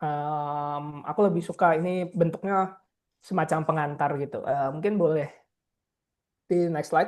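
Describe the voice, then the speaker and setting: In a quiet background, a man talks at a moderate pace with a fairly high pitch and fairly even intonation. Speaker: researcher and advocacy officer. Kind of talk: lecture presentation. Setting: online video call. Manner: hesitant with many fillers.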